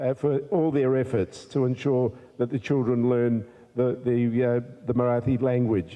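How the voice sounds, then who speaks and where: This man has an Australian accent. He talks at a medium pitch. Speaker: politician. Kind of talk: formal speech. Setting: community event with audience. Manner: halting, many fillers.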